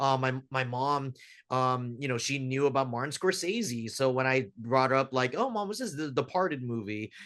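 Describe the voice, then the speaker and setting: With a General American accent, the speaker uses an ordinary speaking voice, a moderate pace and ordinary pitch variation. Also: man, medium pitch for a man. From US, Filipino American family. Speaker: filmmaker. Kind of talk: casual interview chat.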